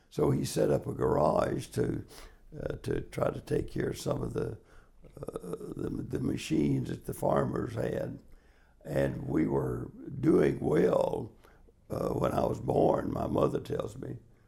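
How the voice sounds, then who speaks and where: A man in a Southern US accent, at a fairly slow pace. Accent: Southern US (Georgia). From US South, Georgia (Marietta). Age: 80s+. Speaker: interviewee in oral history project. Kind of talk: oral history interview. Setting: in-person interview in Sandy Springs, Georgia.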